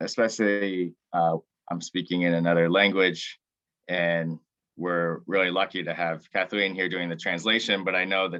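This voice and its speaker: Speaking with monotone, flat intonation, a man uses a very deep, low pitch. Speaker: forest researcher giving a tutorial. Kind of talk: tutorial. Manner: hesitant, many fillers; deliberately slow.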